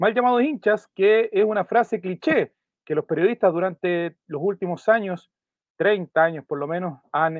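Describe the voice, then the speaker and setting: This man's pitch is high, with ordinary variation. He talks at a fairly slow pace. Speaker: football podcast host. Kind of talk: scripted narration; casual chat.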